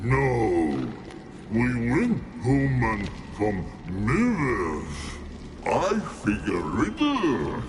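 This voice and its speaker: A man puts on a character voice at a medium pitch, speaking at a very slow pace. Long, frequent pauses break up his speech over loud background noise. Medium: video game. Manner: broken, simple-minded speech.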